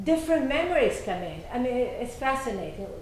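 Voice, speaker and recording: Noticeable background noise and audible room echo surround a woman with an Italian accent who speaks at a moderate pace in a high voice. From Italy, Naples. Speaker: novelist. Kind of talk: interview. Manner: halting.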